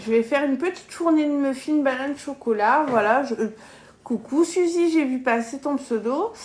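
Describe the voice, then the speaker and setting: With a southern French accent, a woman speaks at a moderate pace in a high pitch with ordinary pitch variation, noticeable background noise behind her. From southern France, Gard. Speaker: cooking live streamer, kitchen appliance demonstrator. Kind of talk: live cooking stream. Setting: at home. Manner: casual, chatty.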